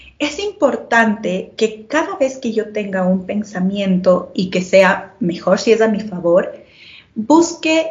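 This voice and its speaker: Somewhat breathy, a woman speaks at a very slow pace. Her pitch is fairly high and her intonation lively. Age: 30s. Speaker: marketing analyst and relational therapist. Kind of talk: panel conversation.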